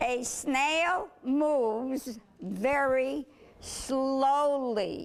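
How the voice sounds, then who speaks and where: A woman with an American accent talks at a very slow pace. Her pitch is high, with ordinary variation. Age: 80s+. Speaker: special education teacher. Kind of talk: interview answer.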